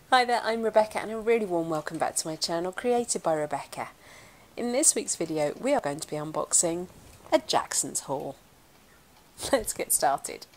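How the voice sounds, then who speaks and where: A woman speaks at a moderate pace. Her pitch moves in very wide swings. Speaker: art channel host. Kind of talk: casual vlog chat. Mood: cheerful, playful. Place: home room.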